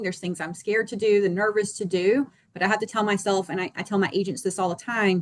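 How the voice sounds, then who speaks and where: Her pitch sits at a medium level. The woman talks at a moderate pace. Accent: North Carolina. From North Carolina, small town in the Piedmont. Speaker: real estate agent. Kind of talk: panel discussion.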